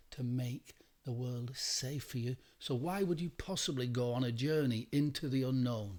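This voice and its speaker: A man with an English accent at medium pitch, moderate pace and ordinary pitch variation. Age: 60s. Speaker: meditation teacher. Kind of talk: meditation talk. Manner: repetitive, emphatic.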